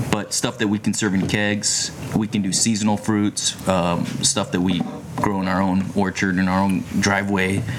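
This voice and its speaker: Noticeable background noise behind a man's fairly low pitch and moderate pace. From Japan, then Hawaii. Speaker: kombucha maker. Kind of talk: casual chat. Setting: outdoors.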